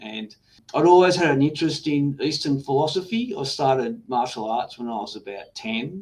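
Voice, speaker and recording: Moderate pace, ordinary pitch variation, and an Australian accent. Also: man. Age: 60s. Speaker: trader and Zen teacher. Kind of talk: interview. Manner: halting.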